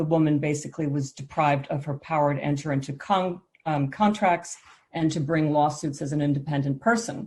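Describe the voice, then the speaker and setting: With an American accent, a woman talks at a fairly quick pace in a very deep, low pitch, somewhat breathy, with ordinary pitch variation over a quiet background. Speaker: law professor. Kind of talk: conference presentation. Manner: brisk.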